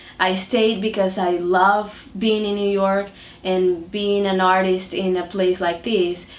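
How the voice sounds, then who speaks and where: A woman at medium pitch, very slow and monotone with flat intonation, with audible room echo. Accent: Dominican. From Dominican Republic. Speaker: artist. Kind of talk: interview. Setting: artist's studio. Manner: hesitant, many fillers.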